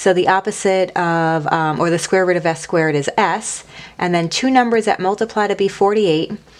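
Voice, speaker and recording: An ordinary speaking voice from a woman at medium pitch, fairly quick in pace, with ordinary pitch variation and very even loudness. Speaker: math teacher. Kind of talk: recorded lesson. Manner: casual.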